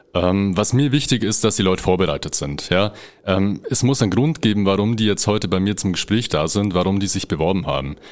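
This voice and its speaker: At a fairly quick pace, a man talks in an unremarkable speaking voice, fairly low pitched, with ordinary pitch variation. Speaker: HR manager. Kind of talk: interview answers. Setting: studio.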